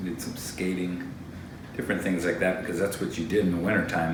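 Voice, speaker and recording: With an American accent, a man speaks fairly quickly in a very deep, low voice with fairly even intonation, amid noticeable background noise and audible room echo. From Vermont, US (Island Pond). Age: 40s. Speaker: member of a religious community. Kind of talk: interview. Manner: casual, conversational.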